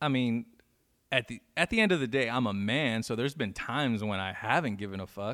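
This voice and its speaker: Speaking fairly quickly, a man with an American accent has an unremarkable speaking voice. His pitch is medium and varies in an ordinary way. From Inland Empire, California. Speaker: DJ. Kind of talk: casual chat. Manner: laid-back, slangy.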